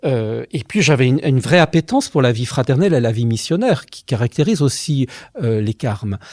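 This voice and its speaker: A somewhat breathy man speaks at a fairly quick pace with lively intonation, in a dry, close sound with no echo. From France, Savoie (Albertville). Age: 50s. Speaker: teacher and former friar giving testimony. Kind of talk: testimony interview. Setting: office at a high school. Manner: hesitant, many fillers.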